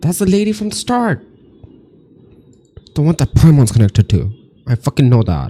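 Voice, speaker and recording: A man speaks at a moderate pace in a dark, mellow, somewhat breathy voice with very wide pitch swings and long, frequent pauses, and the sound is dry and close with no echo. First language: not English. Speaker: reaction youtuber. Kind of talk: video reaction commentary. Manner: animated.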